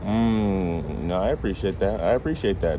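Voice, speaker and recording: A man's fairly low voice with ordinary pitch variation, over noticeable background noise. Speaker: street interviewer. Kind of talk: casual street interview host.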